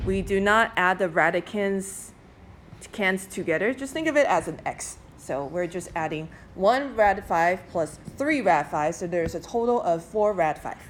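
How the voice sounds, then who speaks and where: Here is a woman with a normal speaking voice at a medium pitch. Her intonation is lively and her pace is fairly slow. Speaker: math teacher. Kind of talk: classroom lecture.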